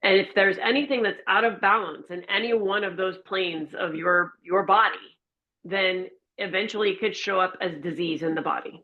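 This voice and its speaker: In an American accent, a woman with an unremarkable speaking voice talks at a moderate pace. Her pitch is medium and its variation ordinary. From Florida. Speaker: empowerment and wellness coach. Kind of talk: interview conversation.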